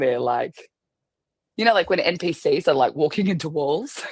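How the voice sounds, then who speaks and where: The speaker has an Australian accent and talks at a fairly quick pace. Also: woman. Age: 30s. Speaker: army veteran and wedding photographer. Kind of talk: podcast interview.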